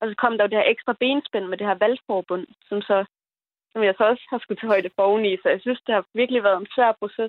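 At a fairly quick pace, an ordinary speaking voice talks with fairly even intonation. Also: woman. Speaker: young voter calling in. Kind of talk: phone-in call.

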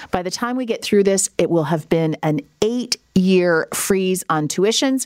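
At a moderate pace, a woman talks in an ordinary speaking voice with medium pitch and lively intonation. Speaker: guest radio host. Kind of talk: radio panel discussion. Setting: radio studio.

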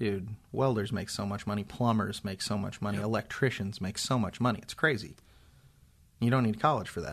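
With an American accent and a normal speaking voice, a man talks at a fairly quick pace and fairly low pitch with ordinary pitch variation against a quiet background. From Indiana, US Midwest. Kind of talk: casual chat. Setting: studio. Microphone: new microphone.

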